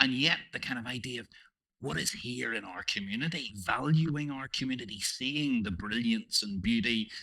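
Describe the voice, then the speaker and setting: Speaking at a fairly quick pace, a man with a Northern Irish accent has a bright, sharp tone and very wide pitch swings. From Northern Ireland. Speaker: panel moderator. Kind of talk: panel discussion. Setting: stage with audience.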